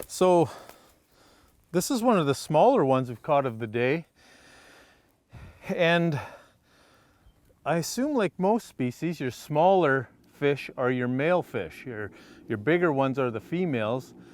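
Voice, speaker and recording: Pausing long and often, a man speaks at a fairly slow pace with lively intonation and a fairly high pitch. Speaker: fishing show host. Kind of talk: outdoor show commentary.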